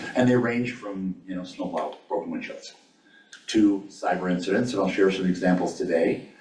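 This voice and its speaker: A man with a fairly low pitch and fairly even intonation is heard amid noticeable background noise and audible room echo. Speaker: state risk management administrator. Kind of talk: presentation to a board meeting. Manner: fast.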